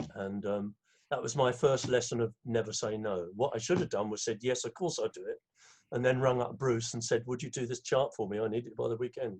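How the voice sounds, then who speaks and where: The man speaks with an English accent and sounds somewhat breathy. His pitch variation is ordinary. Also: medium pitch for a man, fairly quick pace. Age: 70s. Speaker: conductor and arranger. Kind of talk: interview.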